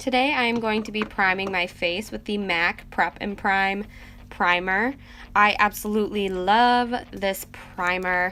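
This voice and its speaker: Bright, sharp tone from a woman at medium pitch, with fairly even intonation and a fairly slow pace. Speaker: beauty vlogger. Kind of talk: tutorial.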